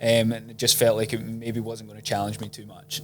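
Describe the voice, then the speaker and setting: At a medium pitch, a man talks in a Scottish accent. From Scotland, Edinburgh. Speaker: property investment strategist. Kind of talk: casual interview. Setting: sitting in person with host.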